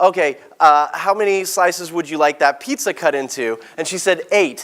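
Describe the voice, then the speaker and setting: A man speaks in a high pitch with an animated tone and ordinary pitch variation. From Texas (born in South Africa). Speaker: keynote speaker and author. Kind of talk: keynote presentation. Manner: fast.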